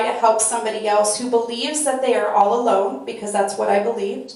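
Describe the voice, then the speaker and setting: Audible room echo carries a woman's voice at a fairly high pitch. Her intonation is fairly even. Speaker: peer support specialist. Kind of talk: panel discussion.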